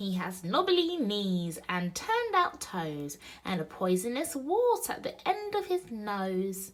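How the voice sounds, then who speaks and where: Using a put-on character voice, a female-sounding speaker talks at a medium pitch and fairly slow pace with hardly any pauses. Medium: read story.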